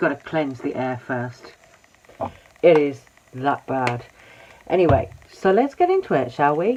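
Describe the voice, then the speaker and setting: Noticeable background noise sits under the audio. Pauses are long and frequent. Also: fairly slow pace. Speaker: YouTube drama commentator. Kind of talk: casual commentary vlog. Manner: quiet.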